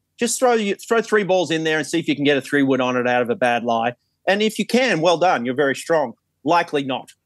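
On a very clean recording with a silent background, a man with an Australian accent talks very fast in a fairly high voice, his pitch swinging very widely. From Australia, New South Wales central coast. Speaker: golf coach. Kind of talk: casual chat.

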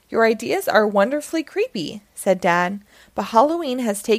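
The intonation moves in a lively way. It belongs to an unforced reading voice.

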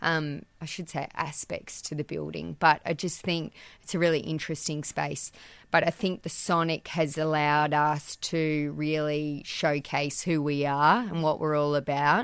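A woman with an Australian accent speaks at a fairly slow pace in a very deep, low voice with fairly even intonation. The recording is very clean, with a silent background. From Australia, central west New South Wales. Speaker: business owner. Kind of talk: interview. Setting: back room of a shop.

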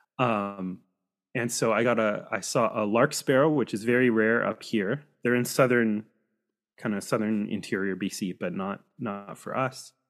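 In a very clean recording with a silent background, a man speaks at a fairly slow pace with a Pacific Northwest accent. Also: medium pitch for a man, fairly even intonation. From US Pacific Northwest, Seattle suburbs. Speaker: birding guide and church historian. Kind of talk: casual interview. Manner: halting, many fillers.

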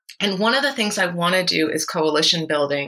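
A woman with an American accent speaks in a plain, everyday voice at a moderate pace, fairly low in pitch with ordinary pitch variation. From Massachusetts (Brookline). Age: 40s. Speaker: musical comedian. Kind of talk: interview.

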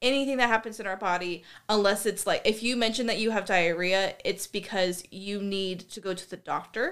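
An unremarkable speaking voice from a woman with an American accent and ordinary pitch variation. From US Pacific Northwest. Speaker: guest asking questions. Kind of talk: casual chat.

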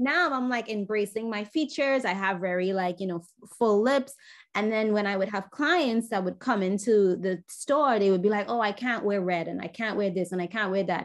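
An enthusiastic woman with an American accent, medium pitch and ordinary pitch variation. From Trinidad. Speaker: makeup artist. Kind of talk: casual interview chat.

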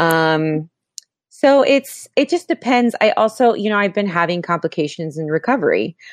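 Against a quiet background, a woman of medium pitch makes very wide pitch swings in a dry, close sound with no echo. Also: moderate pace. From Florida. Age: 30s. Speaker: filmmaker. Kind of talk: casual chat.

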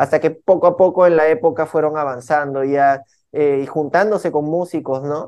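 At a moderate pace, a man talks in a plain, everyday voice with a fairly high pitch and fairly even intonation. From Peruvian Amazon, San Martín (Lamas). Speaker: urban music artist. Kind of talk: interview.

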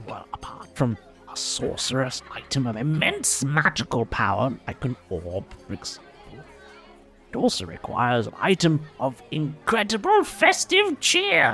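A man's put-on character voice at a moderate pace, with clear music in the background. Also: fairly high pitch for a man. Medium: actual play. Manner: rambling, folksy.

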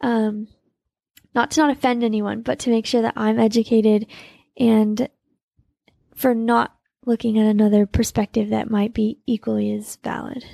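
A soft-spoken woman with an American accent talks at a moderate pace with long, frequent pauses and fairly even intonation. Her fairly high-pitched voice has a dark, mellow tone, and the sound is dry and close with no echo. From Utah, US. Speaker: elite trail runner. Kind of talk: casual interview. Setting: in person, Austin.

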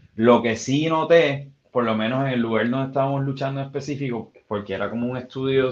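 A man with an ordinary speaking voice talks at a moderate pace and medium pitch, showing ordinary pitch variation. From Puerto Rico, west. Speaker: former professional wrestler and musician. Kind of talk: casual interview.

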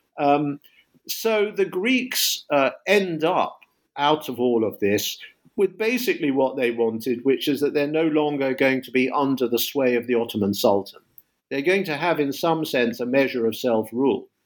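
The speaker is a man with a fairly high voice. He moves at a moderate pace with lively intonation. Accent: London. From London, England. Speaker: history professor. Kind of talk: interview about his book. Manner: hesitant, many filler words.

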